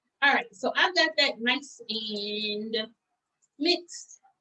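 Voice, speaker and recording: A woman's raised, projected voice with an American accent, bright and sharp in tone, with ordinary pitch variation. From US South, Atlanta, Georgia. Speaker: pastry chef. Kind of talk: cooking tutorial. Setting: video call.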